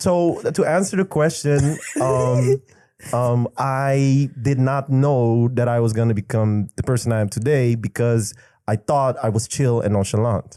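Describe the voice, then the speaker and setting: A man with a Dutch Caribbean accent talks at a fairly slow pace and medium pitch, with ordinary pitch variation, very even loudness and a dark, mellow tone. The recording is very clean and silent, dry and close with no echo. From Curaçao. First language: Papiamentu. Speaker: rapper. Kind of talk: podcast interview answer.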